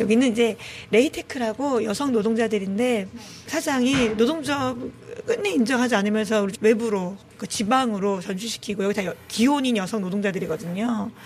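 At a moderate pace with ordinary pitch variation, the voice comes through noticeable background noise. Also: woman, fairly high pitch for a woman. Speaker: shelter committee chair, labor activist. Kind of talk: interview. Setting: on location at the shelter.

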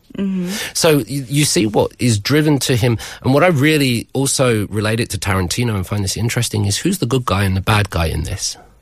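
With a British accent, a man talks at a fairly quick pace, his pitch swinging very widely. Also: medium pitch for a man. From Britain. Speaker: university lecturer. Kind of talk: radio book segment.

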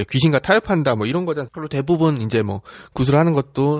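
A man talks at a very fast pace with lively intonation, recorded with a dry, close sound and no echo. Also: very clean recording, silent background. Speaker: history podcast host. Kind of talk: casual history storytelling. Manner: conversational, chatty.

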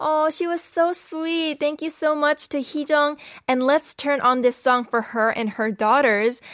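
In an animated tone, a woman with a high pitch talks with ordinary pitch variation. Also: fairly slow pace, very clean recording, silent background. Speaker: radio host. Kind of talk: radio show hosting, bilingual English and Korean. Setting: studio. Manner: animated, friendly.

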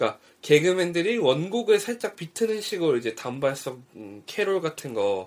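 This man's high-pitched voice makes very wide pitch swings and big swings in loudness, moving at a moderate pace with hardly any pauses. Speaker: podcast co-host. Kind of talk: casual chat. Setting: home recording.

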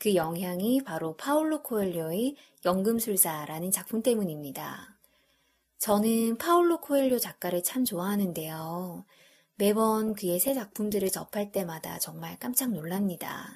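Recorded very cleanly against a silent background, a woman talks at a fairly slow pace with lively intonation and a somewhat breathy sound. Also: medium pitch for a woman. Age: 30s. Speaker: podcast host. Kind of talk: casual monologue.

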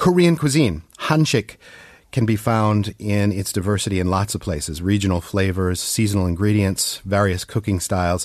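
A man with an unremarkable speaking voice, fairly low in pitch, with ordinary pitch variation and a moderate pace. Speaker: radio host. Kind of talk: casual radio interview. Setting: studio.

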